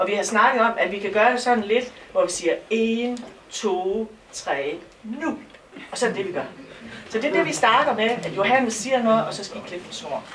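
Light background noise sits behind a woman speaking at a moderate pace. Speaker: shop volunteer host. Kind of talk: opening speech. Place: shop. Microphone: camera far.

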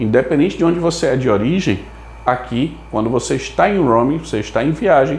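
A man speaks at a fairly quick pace with very wide pitch swings. Room echo is audible. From Brazil. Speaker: telecom management consultant. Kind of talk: tutorial. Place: home room. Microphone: lapel.

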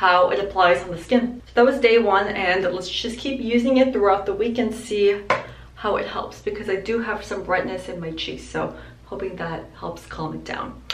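A woman talks at a moderate pace with ordinary pitch variation and big swings in loudness. Audible room echo and light background noise are present. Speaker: beauty vlogger. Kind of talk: casual vlog chat. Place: home room.

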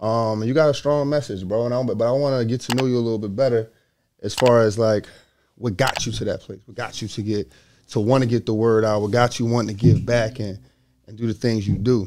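With an American accent and an unremarkable speaking voice, a man of medium pitch talks at a fairly quick pace, his intonation fairly even but his loudness swinging widely. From US inner city. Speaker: podcast host. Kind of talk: read-out ad; casual interview.

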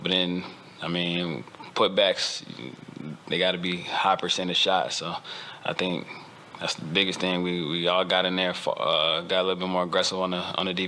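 Monotone, flat delivery with long, frequent pauses over light background noise. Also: man, very deep, low pitch for a man, moderate pace. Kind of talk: interview answer. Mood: content after a win. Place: meeting room. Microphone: podium.

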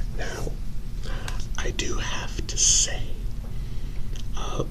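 Soft-spoken speech at a very slow pace over loud background noise. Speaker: role-play host welcoming newcomer. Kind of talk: role-play monologue, soft-spoken. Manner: soft-spoken ASMR role-play voice.

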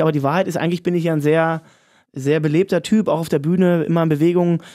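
Against a quiet background, a man speaks very fast in a high pitch. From Brandenburg, Cottbus; Brandenburg. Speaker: pop singer. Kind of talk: casual chat. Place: studio.

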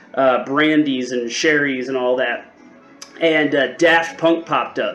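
A man's voice over music in the background. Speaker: spirits reviewer. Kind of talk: casual review vlog chat. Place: home room.

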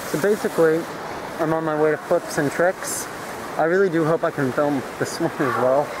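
Recorded dry with no echo but with noticeable background noise, a man talks at a moderate pace. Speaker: vlogger. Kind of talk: casual vlog chat.

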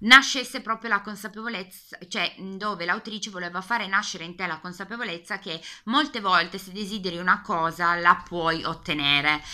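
The voice has a Piedmontese accent, a bright, sharp tone, ordinary pitch variation, a moderate pace and big swings in loudness against a quiet background. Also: woman, medium pitch for a woman. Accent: Piedmontese Italian. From Piedmont, northern Italy. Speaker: book youtuber. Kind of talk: casual video book tag. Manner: hesitant, many fillers. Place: home room. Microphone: webcam.

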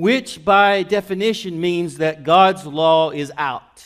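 A man with a high-pitched voice and ordinary pitch variation speaks over a quiet background. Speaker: pastor. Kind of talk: sermon. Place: church. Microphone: podium.

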